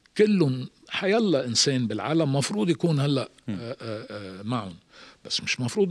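A man at a moderate pace with very wide pitch swings, against a quiet background. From Lebanon, Beirut; Lebanon. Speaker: strategic communication expert; podcast guest. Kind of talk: interview; interview answer. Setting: studio. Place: studio. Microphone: studio mic.

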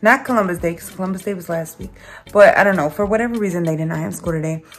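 A woman speaks with faint music in the background. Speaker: family vlogger. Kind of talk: casual vlog chat. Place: home room. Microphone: phone near.

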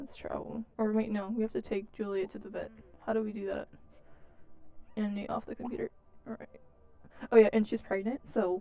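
Using big pitch swings and vocal fry, a woman talks at a moderate pace broken by long, frequent pauses. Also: medium pitch for a woman.

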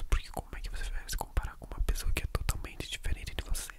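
A man whispers, soft-spoken. He goes at a very fast pace. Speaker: ASMR creator. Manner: soft close-mic ASMR whisper. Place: home room. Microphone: studio mic.

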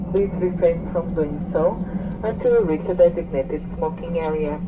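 Noticeable background noise accompanies talking that keeps a moderate pace. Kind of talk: cabin announcement. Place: plane.

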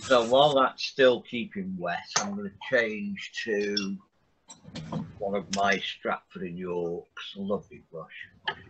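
Behind this man there is noticeable background noise. He talks very slowly. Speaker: art teacher. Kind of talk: tutorial. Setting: video call. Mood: relaxed, friendly. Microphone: video call.

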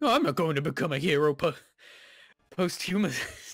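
At a fairly quick pace, a cartoonish character voice sits at middle pitch. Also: female-sounding voice. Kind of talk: comic cartoon-dog voice. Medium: game stream. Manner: menacing, scornful.

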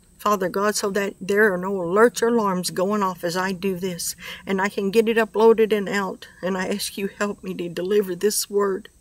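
A woman's monotone, flat delivery at a moderate pace with hardly any pauses, the sound dry with no echo. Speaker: prophetic ministry video maker. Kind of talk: prayer and prophetic word delivery. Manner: earnest, repetitive emphasis. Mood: fervent, earnest. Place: garden. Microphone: phone near.

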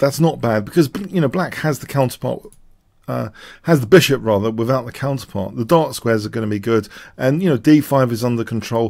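A man keeps a fairly quick pace with ordinary pitch variation, the background quiet. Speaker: chess commentator. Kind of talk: commentary.

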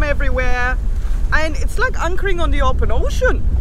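A woman talks at a moderate pace with extremely high pitch. The sound is dry with no echo, though there is noticeable background noise. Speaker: sailing vlogger. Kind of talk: casual vlog chat. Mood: frustrated but cheerful. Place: boat. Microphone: phone near.

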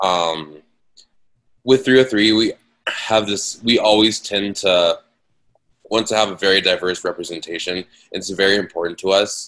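Speaking at a moderate pace, a man has a fairly low pitch and an American accent. He leaves long, frequent pauses. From Denver, Colorado. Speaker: music journalist and talent buyer. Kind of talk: panel discussion.

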